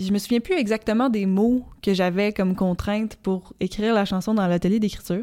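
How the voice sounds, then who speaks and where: A woman's dark, mellow tone at a fairly quick pace with very even loudness. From Quebec, Gaspésie (Petite-Vallée). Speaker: singer-songwriter. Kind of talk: interview. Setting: rehearsal space. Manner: halting, with many fillers and repeats.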